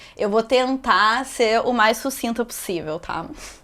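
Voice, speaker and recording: This woman has a normal speaking voice pitched fairly high. Her pitch variation is ordinary. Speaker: yoga teacher. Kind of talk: yoga class instruction. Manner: casual, chatty.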